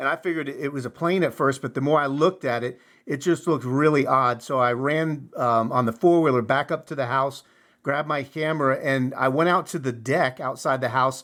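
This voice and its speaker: A man talks in an ordinary speaking voice, fairly high for a man, at a fairly quick pace with fairly even intonation. The recording is very clean with a silent background. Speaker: farmer; martial arts instructor. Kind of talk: casual interview conversation.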